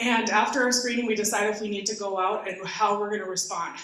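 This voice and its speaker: Audible room echo surrounds a woman as she speaks. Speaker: guest. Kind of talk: talk at a community forum.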